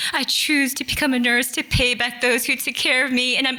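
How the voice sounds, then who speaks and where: A woman's high-pitched, raised and projected voice with an American accent, flat and monotone, amid noticeable background noise. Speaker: nurse. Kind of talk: storytelling.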